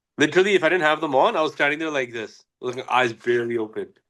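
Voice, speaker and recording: At a very fast pace, a man talks with ordinary pitch variation over a quiet background. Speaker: podcast co-host, grappler. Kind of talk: casual chat. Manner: stuttering since concussion.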